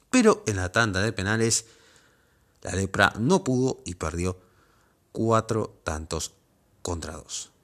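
On a very clean recording with a silent background, a man uses lively intonation at a fairly low pitch. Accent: Rioplatense. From Argentina, Pergamino, Buenos Aires province. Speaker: football podcast host. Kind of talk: scripted narration.

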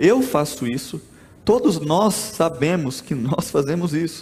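With very wide pitch swings, the speech unfolds at a fairly slow pace. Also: man. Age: 20s. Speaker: pastor. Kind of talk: sermon.

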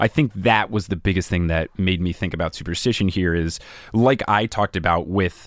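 In a very clean recording with a silent background, a man with a normal speaking voice talks at a moderate pace, fairly low in pitch, with ordinary pitch variation. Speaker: podcast host and guest. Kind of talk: casual book discussion.

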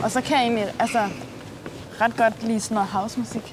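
A woman speaks at a moderate pace with a fairly high pitch, over noticeable background noise. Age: 30s. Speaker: date interviewee. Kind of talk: casual chat.

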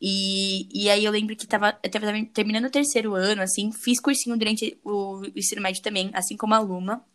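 A woman uses a normal speaking voice, fairly high in pitch, at a moderate pace. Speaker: podcast host. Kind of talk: casual chat.

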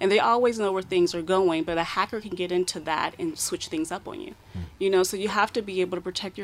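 A woman with an American accent at medium pitch, very fast, with ordinary pitch variation. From United States. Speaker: cybersecurity expert. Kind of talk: radio interview. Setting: radio studio.

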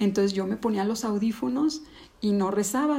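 A somewhat breathy woman at a medium pitch and a fairly quick pace. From Mexico, Ciudad Juárez then León from age nine. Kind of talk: testimony. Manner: halting.

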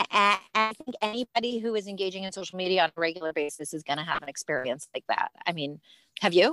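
Over background music, a woman talks very fast at a medium pitch with lively intonation, the sound dry and close with no echo. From US Midwest (Cleveland, Ohio). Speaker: educator and writer, rabbi's wife. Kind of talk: casual interview chat.

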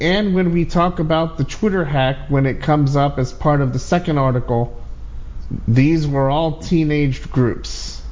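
A man with a normal speaking voice talks at a fairly slow pace. His pitch is fairly high, with ordinary pitch variation. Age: 40s. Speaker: tech podcast host. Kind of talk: casual chat. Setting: online audio room.

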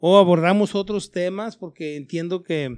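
A man's high-pitched voice at a fairly slow pace, against a quiet background. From Chihuahua, Mexico (Parral). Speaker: politician. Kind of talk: interview.

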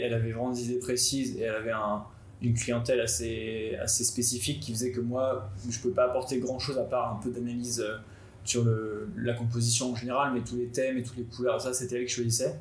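Over noticeable background noise and audible room echo, a man speaks at a fairly quick pace and medium pitch in a monotone, flat intonation. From France, Nantes. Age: 20s. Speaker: graphic designer and videographer. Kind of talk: personal story.

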